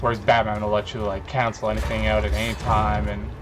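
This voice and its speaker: A man with a very deep, low pitch mumbles loudly at a fairly quick pace. Music plays in the background, and the room echo is audible. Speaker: gaming youtuber. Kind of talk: gameplay commentary. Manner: mumbling. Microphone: poor sound quality.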